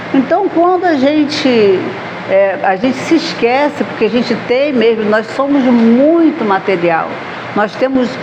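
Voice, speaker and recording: A woman speaks at a fairly slow pace with a high pitch and lively intonation. Audible room echo and noticeable background noise surround her voice. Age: 60s. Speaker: spiritist lecturer. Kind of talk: lecture. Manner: conversational.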